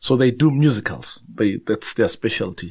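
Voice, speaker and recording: A man at a medium pitch and moderate pace, in a Zulu accent. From South Africa, Zulu-speaking. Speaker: novelist and journalist. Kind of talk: interview conversation. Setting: studio. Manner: halting, frequent repetitions and fillers.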